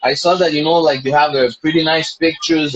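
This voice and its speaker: At a moderate pace, a man speaks with a non-native accent and a fairly high pitch. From Montreal, Quebec. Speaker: podcast host. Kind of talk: interview. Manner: halting, many fillers.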